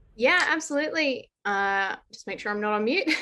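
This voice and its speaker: Bright, sharp tone from a woman with an Australian accent, lively intonation and a moderate pace, on a very clean recording against a silent background. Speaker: blockchain consultant and columnist. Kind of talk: panel discussion.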